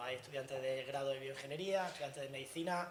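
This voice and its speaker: Talking at a very fast pace in an Andalusian accent, a man with a fairly high pitch and ordinary pitch variation is heard over noticeable background noise and audible room echo. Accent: Andalusian (Granada). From Andalusia, Granada. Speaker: tech industry speaker. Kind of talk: lecture.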